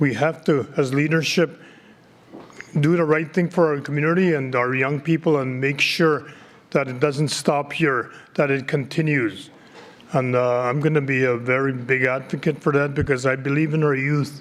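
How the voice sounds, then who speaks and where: At a moderate pace, a man with a plain, everyday voice speaks at a fairly high pitch with fairly even intonation. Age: 60s. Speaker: community politician. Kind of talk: conference speech.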